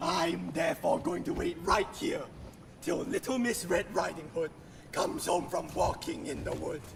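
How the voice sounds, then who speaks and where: Using a put-on character voice, a man speaks at a moderate pace in a theatrical tone with clear background noise. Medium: stage play. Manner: greedy, theatrical.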